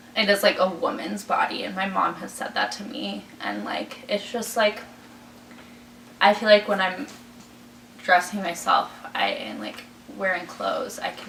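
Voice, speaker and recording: A woman at a fairly slow pace against noticeable background noise. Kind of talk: interview testimony. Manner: halting, filler-heavy.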